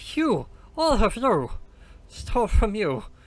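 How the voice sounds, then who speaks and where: A fairly slow, put-on character voice from a man. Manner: bad voice acting, halting.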